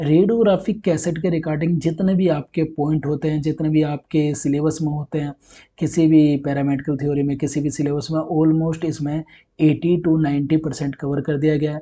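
A man with a fairly high pitch and a dark, mellow tone speaks with little pitch movement. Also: moderate pace.

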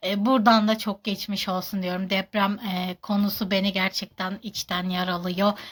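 A woman speaks at a fairly slow pace in a somewhat breathy, medium-pitched voice with monotone, flat intonation, in a very clean recording with a silent background. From Turkey, Kahramanmaraş. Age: 30s. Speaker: social media personality. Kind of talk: Q&A vlog. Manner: halting.

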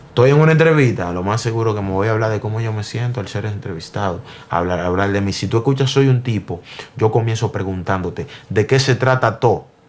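Fairly low in pitch, this man's voice shows ordinary pitch variation. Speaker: interviewee. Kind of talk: interview answer. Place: home room.

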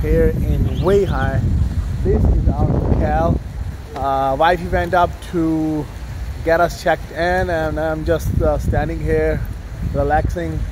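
A man talks at a very slow pace, with long, frequent pauses. Noticeable background noise sits behind him. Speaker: travel vlogger. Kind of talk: casual vlog chat. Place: street. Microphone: phone near.

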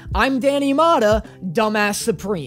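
A man's moderately paced speech comes through with faint music playing behind it. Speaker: video creator. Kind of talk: comedic commentary vlog. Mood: self-mocking humor. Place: home room. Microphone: studio mic.

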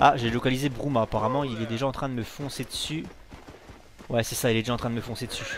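Talking at a very fast pace with long, frequent pauses, a man uses a medium pitch amid noticeable background noise. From Dijon, France. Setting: home recording. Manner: animated, loud, swearing.

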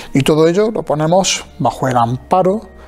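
A man is speaking. Faint music plays in the background. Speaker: TV program host. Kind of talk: presenter introduction. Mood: warm, welcoming. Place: hall. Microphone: lapel.

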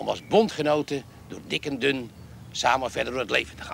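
Here a man talks with ordinary pitch variation. The sound is dry, with no echo and light background noise. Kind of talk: acted comic party speech. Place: garden.

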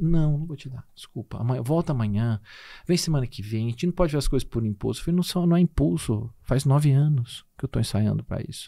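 Against a quiet background, a man talks at a fairly quick pace in a fairly high pitch, his tone dark and mellow, his intonation lively and his loudness swinging widely. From Minas Gerais, Brazil (Conceição da Aparecida); Minas Gerais, Brazil. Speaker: nutritionist and professor; podcast guest. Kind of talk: casual interview chat. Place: studio. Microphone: studio mic.

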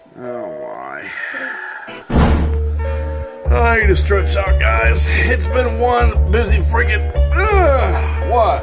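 Loud music plays in the background as a man speaks at a very slow pace, with ordinary pitch variation and long, frequent pauses. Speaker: comedic vlogger on a call. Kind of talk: casual vlog chat. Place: home room. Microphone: webcam.

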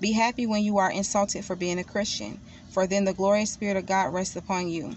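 Against light background noise, a woman's somewhat breathy voice carries fairly even intonation in a dry sound with no echo. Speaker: devotional vlogger. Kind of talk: scripture reading. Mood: calm, devotional. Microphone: phone near.

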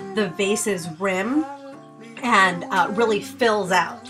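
A woman at a very slow pace, fairly high in pitch with ordinary pitch variation, over music in the background. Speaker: crafter. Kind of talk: craft tutorial voice-over.

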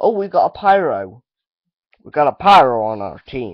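A put-on, gruff character voice from a man, raised and projected, fairly high in pitch, with very wide pitch swings and a moderate pace. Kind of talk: casual gameplay commentary. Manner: gruff, exaggerated.

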